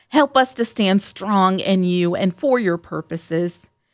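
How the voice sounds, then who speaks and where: A woman speaks in a normal speaking voice at medium pitch and moderate pace, with lively intonation. The sound is dry and close with no echo, and the recording is very clean with a silent background. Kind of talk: fervent prayer. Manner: earnest, solemn, reverent.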